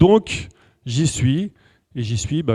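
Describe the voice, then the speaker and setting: A man speaks with a dark, mellow tone and a somewhat breathy quality. His intonation is lively, and the sound is dry and close with no echo. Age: 40s. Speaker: numerology speaker and coach. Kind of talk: lecture. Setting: stage with audience. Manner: casual and conversational.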